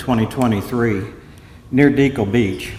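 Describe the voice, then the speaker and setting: Fairly slow speech with ordinary pitch variation, noticeable background noise and audible room echo. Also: man. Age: 70s. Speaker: coastal engineer. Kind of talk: conference talk.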